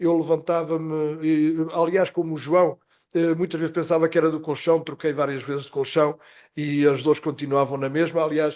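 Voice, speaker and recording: A man talks in a fairly high pitch with monotone, flat intonation. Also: moderate pace, quiet background. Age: 60s. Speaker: health professional, product presenter. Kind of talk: testimony.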